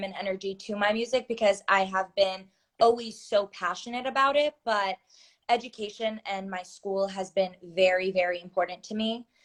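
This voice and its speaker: In an American accent, a woman with a plain, everyday voice speaks at medium pitch and a moderate pace with fairly even intonation. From US, Maryland. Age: 20s. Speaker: singer. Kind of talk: interview.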